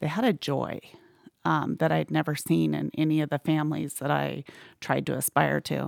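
A woman with an American accent at a moderate pace, the sound dry and close with no echo. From Arizona. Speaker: church staff member. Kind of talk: testimony.

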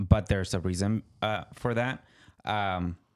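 A man talks at a fairly slow pace in a Mexican accent. His pitch is fairly low and his intonation fairly even. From Mexico. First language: Spanish. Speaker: podcast co-host. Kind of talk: casual chat. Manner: halting.

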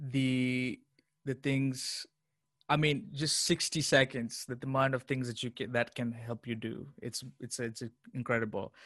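The background is quiet as a man speaks in an ordinary speaking voice at a medium pitch. His pace is moderate and his intonation fairly even. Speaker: associate pastor and viral chai maker. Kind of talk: interview.

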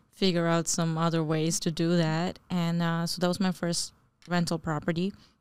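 This woman has an ordinary speaking voice, fairly low in pitch. Her pace is moderate. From New Jersey (born in Bangladesh). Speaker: real estate investor. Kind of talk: casual chat.

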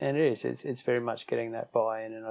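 A man with an Australian accent. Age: 50s. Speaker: strength and conditioning coach. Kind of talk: interview.

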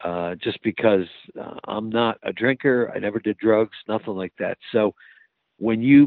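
Medium pitch and a moderate pace from a man with a normal speaking voice. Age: 60s. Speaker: fire chief. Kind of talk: casual interview.

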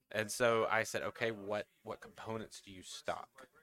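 A man's bright, sharp voice with a Southern US accent. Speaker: national account manager for a distributor. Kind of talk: casual chat.

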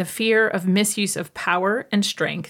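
A woman with a plain, everyday voice at a fairly slow pace, ordinary pitch variation, on a very clean recording with a silent background. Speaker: podcast host and medical intuitive.

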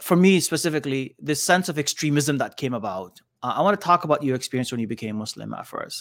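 A man talks at a very fast pace with hardly any pauses, his fairly high pitch carrying lively intonation on a very clean recording with a silent background. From Canada, Sudanese family. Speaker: podcast host. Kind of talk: podcast interview. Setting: studio.

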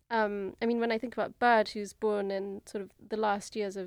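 A woman with a British accent at medium pitch, monotone and flat, at a moderate pace on a very clean recording with a silent background. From England. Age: 30s. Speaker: concert pianist. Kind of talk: interview. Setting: studio.

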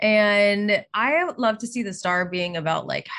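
Speaking very slowly with a Pittsburgh accent, a woman uses a medium pitch and ordinary pitch variation. Her tone is bright and sharp. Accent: Pittsburgh American. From US, Pittsburgh. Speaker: tarot reader. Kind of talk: casual interview chat.

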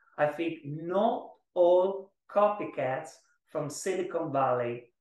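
An Italian accent and lively intonation mark this man's speech. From Italy (Florence). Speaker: startup founder and CEO. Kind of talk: interview. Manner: halting, with many repetitions.

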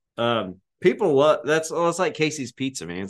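Against a quiet background, a fairly high-voiced man with vocal fry speaks at a moderate pace, his pitch swinging very widely. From Arkansas. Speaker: podcast co-host, grain merchandiser. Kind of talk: casual chat. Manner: animated, laughs often.

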